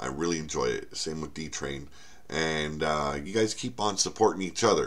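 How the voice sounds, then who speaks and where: Moderately paced, very deep, low male speech with audible room echo. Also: ordinary pitch variation. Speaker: author and channel host. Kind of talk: casual vlog update. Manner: halting, many fillers and repeats.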